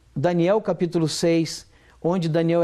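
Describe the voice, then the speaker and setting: At a moderate pace, a man speaks in a high voice with a dark, mellow tone. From southern Minas Gerais, Brazil. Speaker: pastor and former military sergeant. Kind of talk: testimony. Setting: TV studio interview. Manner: halting, many repetitions.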